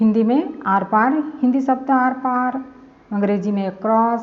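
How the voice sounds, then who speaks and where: A woman's fairly high voice with a Chhattisgarh accent, ordinary pitch variation and noticeable background noise. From Chhattisgarh, India. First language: Chhattisgarhi (speaking Hindi). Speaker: language teacher. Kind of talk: tutorial. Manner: slow, repetitive.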